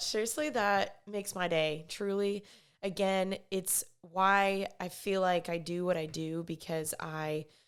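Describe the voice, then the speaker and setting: On a very clean recording with a silent background, a woman with a medium pitch speaks at a very slow pace with hardly any pauses. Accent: Texan. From Texas, Dallas. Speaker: podcast host. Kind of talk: casual monologue. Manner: casual, conversational.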